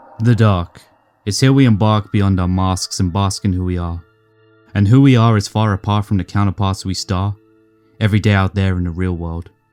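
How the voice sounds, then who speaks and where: A man's fairly low voice at a moderate pace, dry and close with no echo, music playing in the background. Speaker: spoken word poet. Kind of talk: horror narrative poem.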